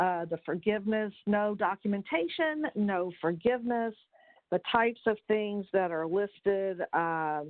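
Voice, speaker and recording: Speaking at a fairly slow pace, a woman with an unremarkable speaking voice uses lively intonation at a medium pitch. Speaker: accountant presenting tax webinar. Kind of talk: webinar presentation. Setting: conference call.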